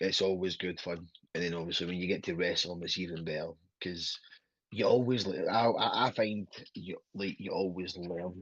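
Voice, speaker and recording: Long, frequent pauses break up speech delivered at a moderate pace against a quiet background. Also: man. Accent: Glasgow. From Scotland. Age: 30s. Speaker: professional wrestler. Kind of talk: interview. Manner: halting.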